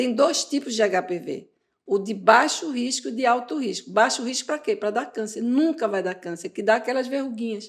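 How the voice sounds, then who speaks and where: Her tone is animated and her intonation lively, at a fairly high pitch. The woman keeps a moderate pace. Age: 60s. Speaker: gynecologist. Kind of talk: interview.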